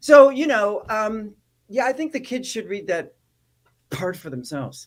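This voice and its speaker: Vocal fry runs through a woman's fairly high voice as she speaks at a fairly slow pace with very wide pitch swings. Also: big swings in loudness. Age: 60s. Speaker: actor and activist. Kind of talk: interview.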